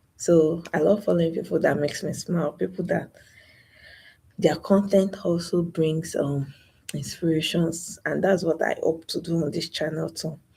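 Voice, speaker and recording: Soft-spoken and somewhat breathy, a woman with a fairly low pitch speaks in a dark, mellow tone with monotone, flat intonation. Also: moderate pace. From Nigeria. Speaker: YouTuber. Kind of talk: live stream monologue.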